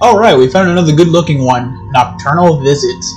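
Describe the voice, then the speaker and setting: A man talks at a moderate pace with music playing faintly behind him. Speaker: game streamer. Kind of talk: gaming commentary. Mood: casual, joking, mildly uneasy.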